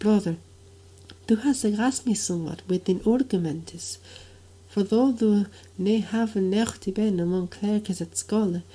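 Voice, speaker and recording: Her tone is dark and mellow, and somewhat breathy. This woman speaks at a fairly slow pace with long, frequent pauses. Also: medium pitch for a woman, ordinary pitch variation. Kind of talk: Middle English reading of a medieval dialogue.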